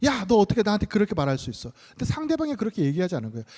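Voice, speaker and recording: A man with a high voice and a dark, mellow tone speaks with very wide pitch swings, recorded dry and close with no echo. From South Korea, Gyeongsang region. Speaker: pastor. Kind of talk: sermon. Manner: blunt, sometimes heard as scolding.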